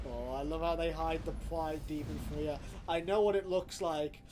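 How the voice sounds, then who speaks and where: A man with a British accent, speaking at a moderate pace in an animated tone. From Britain. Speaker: video game streamer. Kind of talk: casual live stream chat. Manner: animated, swearing outbursts. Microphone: audio level problems, being adjusted.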